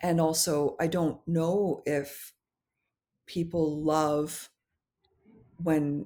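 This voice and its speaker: In a Canadian accent, a woman with a very deep, low pitch talks at a very slow pace with long, frequent pauses, fairly even intonation and very even loudness, on a very clean recording with a silent background. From Canada, North Vancouver. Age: 40s. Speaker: pastry chef and memoir author. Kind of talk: casual interview.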